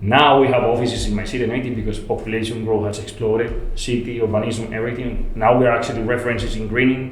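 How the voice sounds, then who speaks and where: Over noticeable background noise and audible room echo, a man with a Spanish accent talks very fast at a medium pitch. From Colombia, Medellin. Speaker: landscape architect. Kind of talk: podcast interview. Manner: halting, repeats words.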